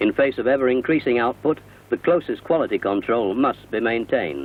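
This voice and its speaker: This man has a normal speaking voice at medium pitch, talking at a fairly quick pace with ordinary pitch variation and very even loudness. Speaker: narrator. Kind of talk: corporate narration.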